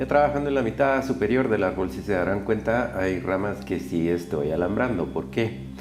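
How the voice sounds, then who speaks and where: A man's very deep, low voice with very wide pitch swings, at a moderate pace with hardly any pauses, over background music and audible room echo. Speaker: bonsai grower. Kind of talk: tutorial narration. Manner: listless.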